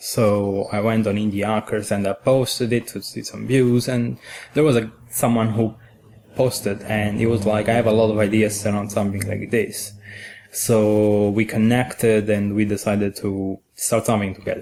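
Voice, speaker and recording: A man with an Italian accent speaks at a moderate pace and fairly low pitch. His dark, mellow tone stays monotone and flat. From Italy. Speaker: software engineer. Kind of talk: podcast interview answer.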